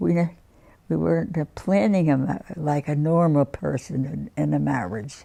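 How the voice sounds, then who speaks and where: Speaking at a fairly slow pace in an American accent, this woman has a very deep, low pitch and a dark, mellow tone. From Newark, New Jersey. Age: 90s. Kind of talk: interview answer.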